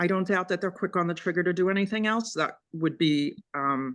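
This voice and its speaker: A woman speaks with a fairly low pitch and a bright, sharp tone. The background is quiet. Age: 60s. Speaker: resident raising a complaint. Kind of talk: public meeting testimony.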